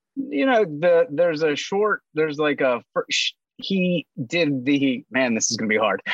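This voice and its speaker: A man's fairly high-pitched, normal speaking voice, with lively intonation at a fairly slow pace, dry and close with no echo. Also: very even loudness. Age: 30s. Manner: profane, jokey.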